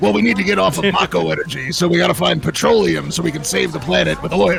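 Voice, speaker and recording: A man performs a put-on character voice at a very fast pace. Clear background noise can be heard. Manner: comical.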